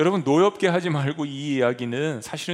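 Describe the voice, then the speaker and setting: Here a man speaks at a fairly high pitch. His pace is fairly quick. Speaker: pastor. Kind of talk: sermon. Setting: church.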